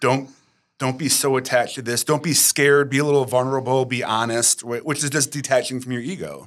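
A man with a normal speaking voice talks fairly quickly at a medium pitch with fairly even intonation. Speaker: podcast producer asking questions. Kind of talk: casual interview chat.

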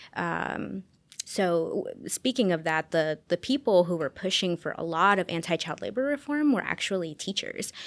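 With lively intonation, a woman talks in an ordinary speaking voice at medium pitch and a moderate pace, in a very clean recording with a silent background. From Las Vegas, US West. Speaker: historian. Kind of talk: interview.

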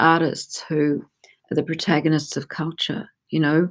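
In an Australian accent, the speaker talks at a fairly slow pace on a very clean recording with a silent background. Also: woman. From Australia, Melbourne. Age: 60s. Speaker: gallerist. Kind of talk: interview.

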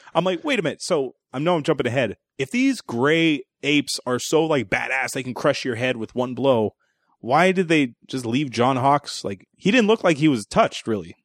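A man speaks in a normal speaking voice, fairly high in pitch, with lively intonation at a moderate pace. The sound is dry and close, with no echo. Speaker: movie review podcast host. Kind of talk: casual comedic movie review chat.

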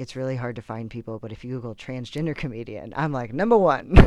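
This man has an unremarkable speaking voice at medium pitch, speaking with an American accent and ordinary pitch variation. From Texas. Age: 30s. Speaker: comedian. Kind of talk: casual chat.

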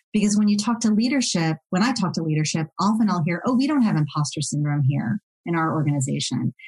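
Her tone dark and mellow and somewhat breathy, a woman talks at a fairly quick pace with very wide swings in pitch. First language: non-English (learned English as second language). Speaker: diversity and belonging consultant, former attorney. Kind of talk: interview podcast.

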